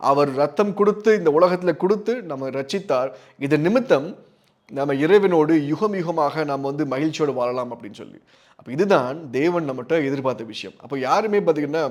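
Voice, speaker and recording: A man's ordinary speaking voice at a fairly high pitch, with lively intonation and big swings in loudness, in a very clean recording over a silent background. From Tamil Nadu, Tirunelveli. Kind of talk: religious teaching talk.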